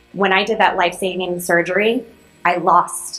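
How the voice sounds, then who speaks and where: Music plays in the background as a woman speaks in a fairly low pitch. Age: 30s. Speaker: commencement speaker. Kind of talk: commencement speech.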